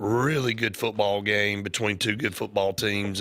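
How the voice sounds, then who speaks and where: A man talks with an Alabama accent. His voice is fairly low and his pace fairly slow. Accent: US South (Alabama). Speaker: sports radio host. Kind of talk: sports talk radio.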